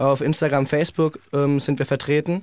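The man's voice sits at a fairly high pitch. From Germany, Heidelberg. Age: 20s. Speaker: singer in a band. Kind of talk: radio interview.

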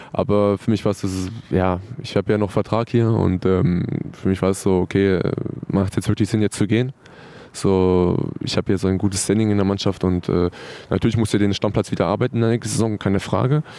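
An ordinary speaking voice moves at a fairly quick pace, with very even loudness and fairly even intonation. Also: man, fairly low pitch for a man. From Hannover area, northern Germany. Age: 20s. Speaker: professional footballer. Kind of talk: interview.

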